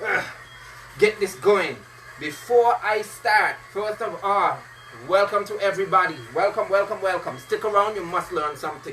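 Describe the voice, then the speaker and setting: A man's raised, projected, high voice with a Caribbean accent, animated in tone at a moderate pace, over noticeable background noise. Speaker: fitness instructor. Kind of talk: live-streamed workout session with chat.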